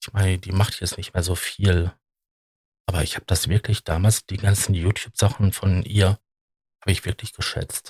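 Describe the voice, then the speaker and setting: A man with a very deep, low pitch speaks in a somewhat breathy, monotone, flat way, with big swings in loudness. He leaves long, frequent pauses, and the sound is dry and close with no echo. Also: moderate pace. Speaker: podcast host. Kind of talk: solo monologue. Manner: hesitant, many filler sounds.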